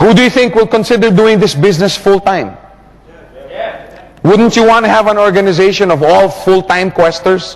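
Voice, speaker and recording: A man with a high pitch speaks in an animated tone at a moderate pace, keeping his loudness very even. Long, frequent pauses break his speech, and noticeable background noise is present. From Philippines. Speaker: network marketing trainer. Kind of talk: training seminar.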